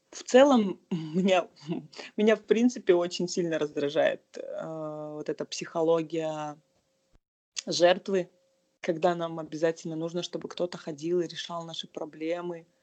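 A woman speaks fairly slowly at a fairly low pitch, with long, frequent pauses. Her tone is dark and mellow, and her pitch varies in an ordinary way. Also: big swings in loudness. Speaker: civic activist and marketer. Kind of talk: casual interview.

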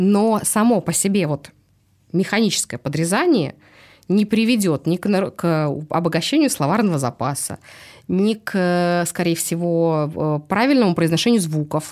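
With lively intonation, a woman talks at a fairly slow pace in an unremarkable speaking voice, on a very clean recording with a silent background. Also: fairly low pitch for a woman. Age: 40s. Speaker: speech therapist. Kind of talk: casual chat.

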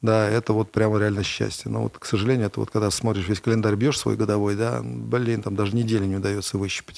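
Fairly low in pitch, a man speaks in a plain, everyday voice with fairly even intonation. The recording is very clean, the background silent. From Russia, Kovrov. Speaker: entrepreneur. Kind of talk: interview.

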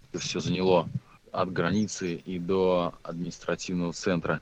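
A man's very deep, low voice at a moderate pace. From Russia, Tver. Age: 30s. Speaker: motorcycle traveler, trampoline gym owner. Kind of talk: casual interview.

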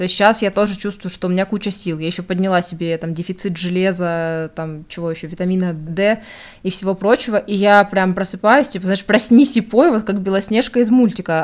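A normal speaking voice goes at a fairly quick pace with fairly even intonation, recorded very cleanly against a silent background. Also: woman. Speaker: podcast host. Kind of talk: casual chat.

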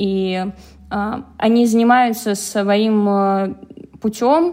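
A woman speaks with a fairly high pitch. It is an ordinary speaking voice. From Penza, Russia. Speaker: learning assistant, former architect. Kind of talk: casual chat.

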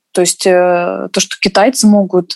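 The woman talks fairly slowly, her voice dry and close with no echo. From Russia. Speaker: dancer. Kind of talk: casual chat.

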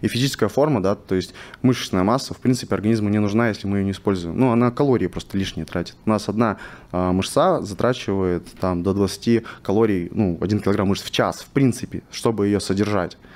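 With an unremarkable speaking voice, a man speaks at a fairly quick pace in a fairly low pitch, his pitch varying in an ordinary way. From Russian Far East, Vladivostok. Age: 20s. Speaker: biohacking and nutrition specialist. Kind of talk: interview. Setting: studio.

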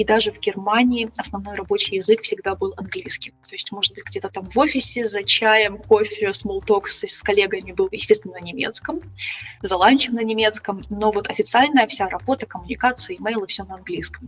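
Over noticeable background noise, the speaker moves at a fairly quick pace with big swings in loudness. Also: woman. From Ukraine, Kyiv. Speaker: travel and investing blogger. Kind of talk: casual interview.

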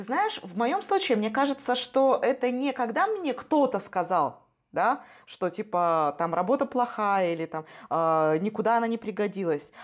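The tone is animated, with very wide pitch swings. Delivery comes at a fairly slow pace. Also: woman, fairly high pitch for a woman. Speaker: corporate training manager. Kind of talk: casual chat.

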